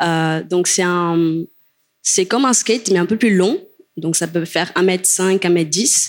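A woman speaks at a very slow pace, her loudness very even throughout. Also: fairly low pitch for a woman, ordinary pitch variation. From Cape Verde. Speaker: longboard dancer. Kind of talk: panel discussion.

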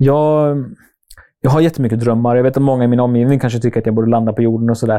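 The tone is dark and mellow, delivered at a very fast pace with fairly even intonation and very even loudness. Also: man, medium pitch for a man. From Sweden, Norrköping. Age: 30s. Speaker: YouTuber. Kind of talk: casual interview.

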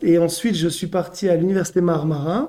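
Fairly slow speech from a man with a high pitch and a dark, mellow tone. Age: 30s. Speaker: French teacher and school coordinator. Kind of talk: casual interview. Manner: hesitant, with filler words.

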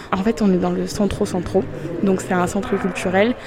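A woman's monotone, flat delivery at a moderate pace, with music in the background. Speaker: travel vlogger. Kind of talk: casual vlog narration.

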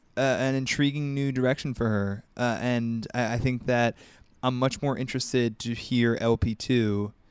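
With fairly even intonation, a man speaks at a fairly slow pace in an ordinary speaking voice. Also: medium pitch for a man, very clean recording, silent background. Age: 20s. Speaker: music journalist. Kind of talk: casual chat.

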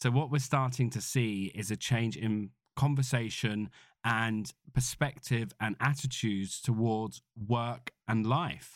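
At a very slow pace, a man with a British accent speaks at a medium pitch with fairly even intonation in a very clean recording with a silent background. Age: 40s. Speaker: podcast host, entrepreneur. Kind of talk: solo podcast monologue. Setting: makeshift home office studio.

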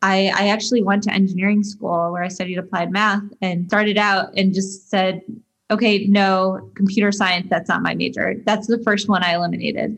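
This voice has an American accent and a somewhat breathy quality. It moves at a moderate pace in a flat monotone. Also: woman, medium pitch for a woman. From US Midwest, Detroit. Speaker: tech company CEO. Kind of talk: interview. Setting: remote call.

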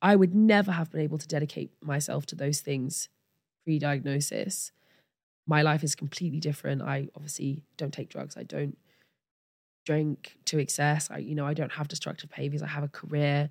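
A woman with an English accent speaks with a very deep, low pitch. The recording is very clean, with a silent background. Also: fairly even intonation, moderate pace. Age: 30s. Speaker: model and ADHD advocate. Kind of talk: interview.

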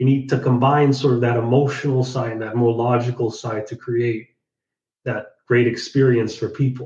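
Somewhat breathy, a man speaks in a medium pitch with a dark, mellow tone and monotone, flat intonation. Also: moderate pace. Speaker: podcast host. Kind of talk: interview.

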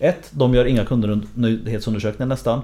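The voice belongs to a man. His tone is dark and mellow, and somewhat breathy. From Sweden, Linköping. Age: 40s. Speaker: author and lecturer on generations. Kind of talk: interview.

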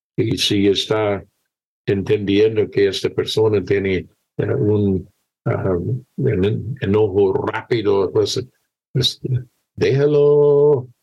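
At a very slow pace with long, frequent pauses, a man speaks in a fairly low, somewhat breathy voice, keeping very even loudness and ordinary pitch variation. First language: English (speaking Spanish). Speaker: missionary pastor. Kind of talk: testimony. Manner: halting.

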